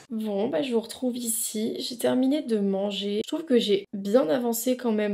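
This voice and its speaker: In a dark, mellow tone and a fairly high pitch, a woman speaks at a moderate pace with ordinary pitch variation. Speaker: lifestyle vlogger. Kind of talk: casual vlog talk to camera. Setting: at home. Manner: spontaneous with many hesitations.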